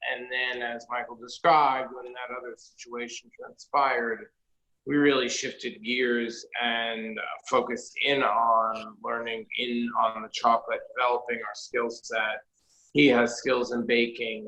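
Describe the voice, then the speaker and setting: In a New York accent, a man speaks fairly slowly at a medium pitch, his intonation flat and monotone. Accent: New York area. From New Jersey, Jersey City. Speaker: chocolatier and shop owner. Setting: video call.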